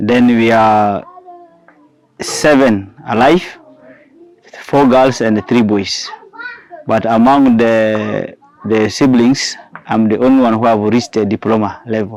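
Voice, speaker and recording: A man talks at a very slow pace and medium pitch, his loudness very even and his intonation fairly even, with long, frequent pauses. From South Sudan, Nzara. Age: 30s. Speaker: teacher. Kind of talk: testimony. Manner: halting.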